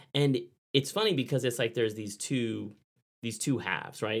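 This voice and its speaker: At a fairly quick pace, a plain, everyday voice shows ordinary pitch variation. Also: man. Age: 40s. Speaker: author and storyteller. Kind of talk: casual chat.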